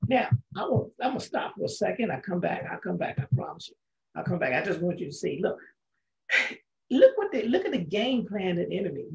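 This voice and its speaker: With little noise behind him, a man goes at a fairly quick pace in a quiet background. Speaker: Bible study teacher. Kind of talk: sermon. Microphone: webcam.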